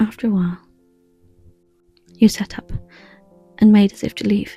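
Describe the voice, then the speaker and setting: With music in the background, a soft-spoken woman with an English accent uses a calm tone, a fairly high pitch and ordinary pitch variation. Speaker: ASMR storyteller. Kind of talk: improvised ASMR audio story. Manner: soft-spoken, calm.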